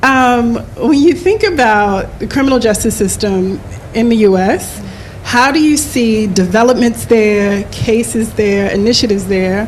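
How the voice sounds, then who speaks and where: Fairly high-pitched, a woman speaks amid noticeable background noise and audible room echo. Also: ordinary pitch variation, fairly slow pace. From United States. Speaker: panel moderator. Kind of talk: panel discussion moderation. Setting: live event with in-room and online audience.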